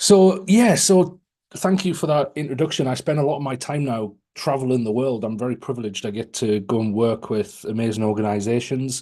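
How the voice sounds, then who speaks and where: A man speaks with a British accent at a medium pitch, his tone dark and mellow. He talks at a fairly quick pace with lively intonation. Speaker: AI speaker and author. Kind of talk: webinar presentation.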